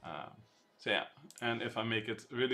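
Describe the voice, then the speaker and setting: A man with a non-native accent speaks at a moderate pace in a bright, sharp tone, his intonation monotone and flat. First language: not English. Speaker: programming streamer. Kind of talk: live coding stream. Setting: live stream. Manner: halting.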